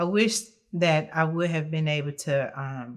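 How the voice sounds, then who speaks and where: At a fairly slow pace, a woman with an American accent talks in a very deep, low pitch with ordinary pitch variation, recorded very cleanly against a silent background. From South Carolina. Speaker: interview guest. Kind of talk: podcast interview, personal testimony. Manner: naturally loud; hesitant, many fillers.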